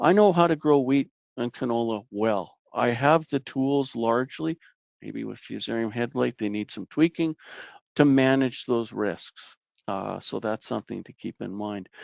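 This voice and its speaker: A man with a Canadian Prairie accent speaks at medium pitch with ordinary pitch variation and big swings in loudness. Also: moderate pace. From Canadian Prairies, Saskatchewan. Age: 60s. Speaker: plant pathologist, researcher. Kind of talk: webinar presentation. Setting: online webinar.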